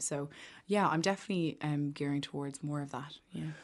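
A woman with an Irish accent, her very deep, low pitch showing ordinary variation, at a fairly quick pace against a quiet background. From Ireland, Maynooth (County Kildare). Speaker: singer-songwriter. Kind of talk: casual chat. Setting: studio.

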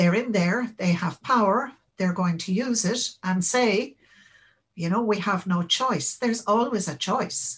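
Speaking with an Irish accent at a fairly slow pace, a woman sounds somewhat breathy, her loudness very even, on a very clean recording with a silent background. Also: medium pitch for a woman, ordinary pitch variation. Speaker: interviewee, former Labour voter. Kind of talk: interview.

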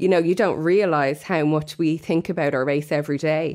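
With an Irish accent, a woman speaks at a moderate pace in a very deep, low voice, captured in a very clean recording with a silent background. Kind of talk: casual radio chat.

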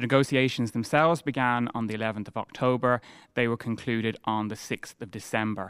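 A man's medium-pitched voice with an Irish accent, at a fairly quick pace and in fairly even intonation, in a very clean, dry, close recording with no echo and a silent background. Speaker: historian or broadcaster on the treaty centenary. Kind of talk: radio interview.

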